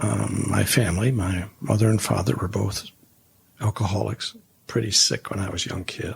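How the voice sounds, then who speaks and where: Male voice with vocal fry at a moderate pace. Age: 70s. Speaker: former pastor and leadership consultant. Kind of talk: interview conversation.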